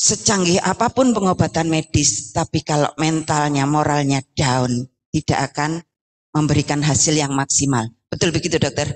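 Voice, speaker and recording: A woman's very deep, low voice at a moderate pace, with ordinary pitch variation and very even loudness. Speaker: cancer support community leader. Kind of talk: welcome speech. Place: hall. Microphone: handheld.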